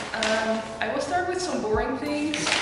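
A woman talks at a moderate pace. Clear music plays in the background, and the room echo is audible. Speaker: vlogger. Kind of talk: casual vlog chat. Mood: cheerful, excited. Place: kitchen. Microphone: camera far.

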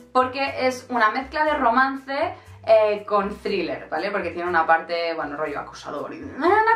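A woman with a fairly high voice speaks in an animated tone, her pitch swinging very widely, over faint background music and audible room echo. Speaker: book youtuber. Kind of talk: casual book review vlog. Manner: very fast. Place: home room.

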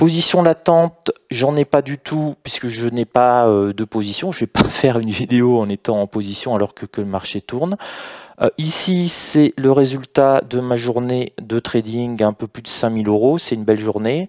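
Against a quiet background, a man talks at a fairly slow pace with ordinary pitch variation, the sound dry with no echo. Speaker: trading educator. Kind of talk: tutorial. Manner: talkative. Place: home room. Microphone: headset.

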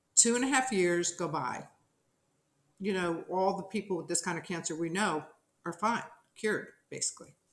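Speaking with an American accent, a woman at a medium pitch keeps a moderate pace with ordinary pitch variation, long, frequent pauses and audible room echo. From New Jersey. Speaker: television producer; interview guest. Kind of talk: interview testimony. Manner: animated. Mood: earnest, reflective. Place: home room.

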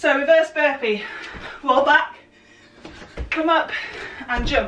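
Light background noise and audible room echo surround a woman speaking in a raised, projected voice. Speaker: fitness instructor. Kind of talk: workout instruction. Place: home room. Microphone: camera far.

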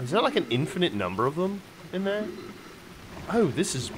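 Noticeable background noise sits behind a man speaking at a moderate pace. His voice is high-pitched and swings very widely in pitch. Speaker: video game streamer. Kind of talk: casual gameplay commentary. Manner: animated, jokey.

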